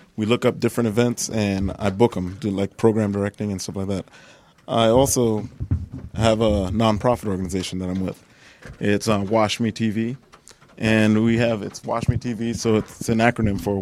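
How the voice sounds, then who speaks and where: A man speaks at a moderate pace in a fairly low voice. His intonation is flat and monotone. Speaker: dog trainer and nonprofit volunteer. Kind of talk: casual chat.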